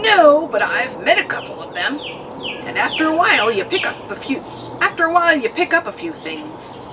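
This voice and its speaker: A put-on character voice, high in pitch, at a fairly quick pace over clear background noise. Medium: read story. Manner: curt, dry, no-nonsense.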